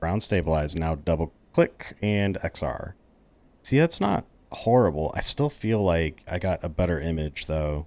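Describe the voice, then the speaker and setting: In an American accent, a man with a very deep, low pitch and ordinary pitch variation speaks at a fairly slow pace on a very clean recording with a silent background. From Texas. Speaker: flight sim gamer. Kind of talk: gameplay commentary. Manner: casual, thinking aloud.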